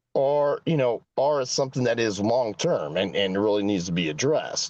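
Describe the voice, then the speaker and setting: In a normal speaking voice, a man with an American accent talks at a medium pitch and a moderate pace. His intonation is lively, and the background is quiet. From US West Coast, San Francisco Bay Area. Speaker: mayoral candidate. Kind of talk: political Q&A.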